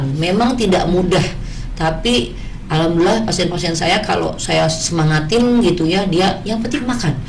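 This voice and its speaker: Lively intonation comes at a moderate pace. There is noticeable background noise and audible room echo. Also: woman, fairly low pitch for a woman, very even loudness. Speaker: ENT doctor. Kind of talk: radio talk show interview. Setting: radio studio, live broadcast. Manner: conversational, with filler hesitations.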